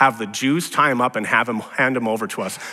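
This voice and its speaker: A man's bright, sharp tone at a fairly quick pace, with ordinary pitch variation. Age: 40s. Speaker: pastor. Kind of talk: sermon.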